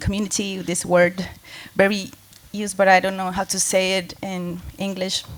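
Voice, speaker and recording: Speaking in a Spanish accent, a woman keeps her voice at a medium pitch. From Colombia. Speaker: music collective organizer. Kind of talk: panel discussion.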